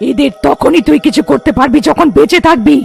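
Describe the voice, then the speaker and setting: A cartoonish character voice at a high pitch, with music in the background. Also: moderate pace. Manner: bold, defiant.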